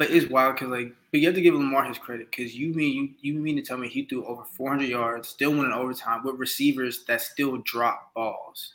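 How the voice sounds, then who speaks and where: A man talks with a plain, everyday voice at a fairly high pitch and a fairly quick pace. His intonation is fairly even, with hardly any pauses. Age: 20s. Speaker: college student journalist and podcast co-host. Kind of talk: casual chat.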